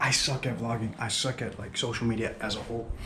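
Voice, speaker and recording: A man speaks quietly with monotone, flat intonation. Background noise is noticeable. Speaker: DJ and vlogger. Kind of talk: casual vlog monologue. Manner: quiet, hushed. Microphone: GoPro camera audio, may sound poor.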